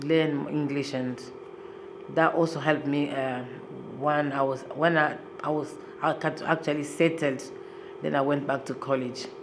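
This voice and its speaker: A woman speaks with a very deep, low pitch for a woman. Noticeable background noise and audible room echo come through. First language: not English. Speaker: asylum seeker interviewee. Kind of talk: interview testimony.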